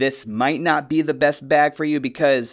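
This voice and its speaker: With ordinary pitch variation and a moderate pace, a man's voice comes through over a quiet background. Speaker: gear reviewer. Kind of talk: product walkthrough. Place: studio.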